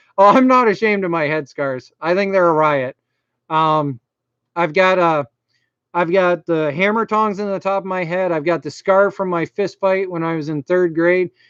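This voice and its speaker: This man's voice sits high in pitch, and the sound is dry and close with no echo. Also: ordinary pitch variation, moderate pace. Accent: strong Maine. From Maine. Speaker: YouTuber, computer repair. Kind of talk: live stream chat. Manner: casual, filler-heavy.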